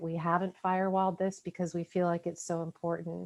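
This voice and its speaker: A woman of medium pitch is heard with a dry, close sound with no echo and a quiet background. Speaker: HR association representative. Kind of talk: panel presentation. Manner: fast.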